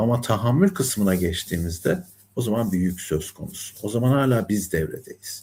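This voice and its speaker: At a moderate pace, a man speaks in a medium-pitched, somewhat breathy voice with a dark, mellow tone and a calm, soothing manner, recorded very cleanly against a silent background. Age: 60s. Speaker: numerologist and life coach. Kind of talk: spiritual talk monologue. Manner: calm, soothing tone; hesitant fillers.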